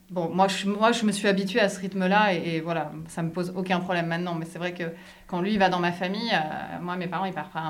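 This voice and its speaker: A woman speaks fairly quickly at a fairly low pitch in a monotone, flat intonation. Noticeable background noise and audible room echo are present. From France. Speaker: French expat in a binational couple. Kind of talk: interview.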